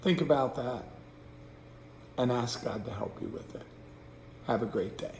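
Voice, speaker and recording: Against noticeable background noise and audible room echo, a man at medium pitch speaks at a moderate pace with ordinary pitch variation, big swings in loudness, and long, frequent pauses. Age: 60s. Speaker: pastor. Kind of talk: devotional reflection. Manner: casual, hesitant with fillers.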